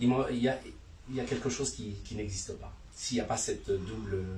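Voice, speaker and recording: Audible room echo and noticeable background noise both color this clip. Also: man. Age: 60s. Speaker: martial arts teacher. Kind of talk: panel discussion. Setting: bookshop event with audience. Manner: halting.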